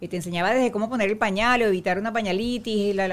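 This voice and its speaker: At a fairly quick pace, a woman talks with medium pitch, ordinary pitch variation and a plain, everyday voice. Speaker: actress. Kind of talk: casual chat.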